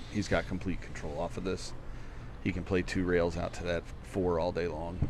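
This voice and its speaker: Audible room echo surrounds a man's very deep, low voice as he speaks at a moderate pace with fairly even intonation. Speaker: pool commentator. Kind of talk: live commentary. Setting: pool hall live stream. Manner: loud.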